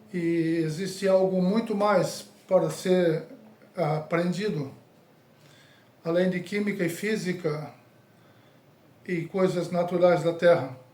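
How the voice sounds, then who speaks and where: A high-pitched man at a very slow pace, with fairly even intonation, long, frequent pauses and audible room echo. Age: 60s. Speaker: evangelist. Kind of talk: sermon.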